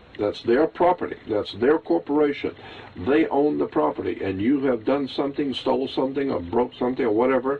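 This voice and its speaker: A man with an American accent talks at a fairly quick pace, his pitch varying in an ordinary way over noticeable background noise. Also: medium pitch for a man. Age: 70s. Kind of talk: interview. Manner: impassioned.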